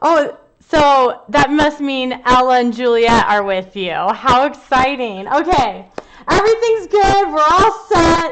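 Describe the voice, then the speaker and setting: A loud, high-pitched woman's voice at a very slow pace, with very wide pitch swings. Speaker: art teacher. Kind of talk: live online art class. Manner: animated.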